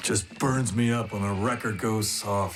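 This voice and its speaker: In a cartoonish character voice, a man speaks at a moderate pace with a fairly low pitch over clear background noise. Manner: gruff, cocky.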